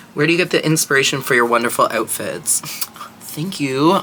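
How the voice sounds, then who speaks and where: A man speaks quietly in a fairly high voice. Noticeable background noise runs behind him. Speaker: drag performer and makeup artist. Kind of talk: makeup tutorial with Q&A chat. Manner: quiet, low-volume.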